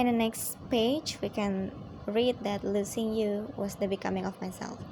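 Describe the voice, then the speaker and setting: A woman talks at a moderate pace in a somewhat breathy, dark, mellow voice with a medium pitch and fairly even intonation. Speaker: student. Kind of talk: poem analysis. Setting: at home at night.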